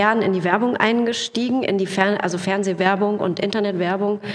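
A woman's monotone, flat intonation with audible room echo and noticeable background noise. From Lower Rhine region, Germany. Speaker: actress and voice artist. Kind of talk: casual chat.

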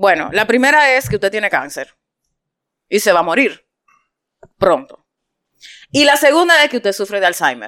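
Animated and bright, with a sharp tone, a woman speaks at a moderate pace with very wide pitch swings, in a dry, close sound with no echo. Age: 40s. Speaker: podcast host. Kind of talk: casual chat.

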